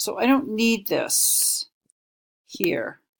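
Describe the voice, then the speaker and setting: A woman's fairly high voice, very slow in pace, with ordinary pitch variation. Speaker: instructional designer giving course review feedback. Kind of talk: screen-recorded tutorial. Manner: casual.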